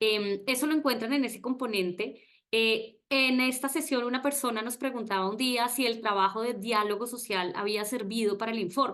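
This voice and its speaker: Here a woman speaks at a moderate pace with ordinary pitch variation. She leaves hardly any pauses. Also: fairly high pitch for a woman. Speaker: webinar moderator. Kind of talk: online presentation. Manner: hesitant, many fillers.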